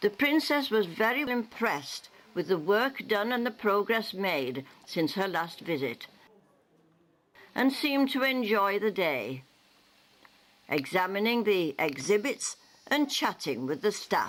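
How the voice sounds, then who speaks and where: A woman with medium pitch and vocal fry speaks at a fairly slow pace, her pitch swinging very widely between long, frequent pauses. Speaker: newsreel narrator. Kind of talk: local newsreel narration.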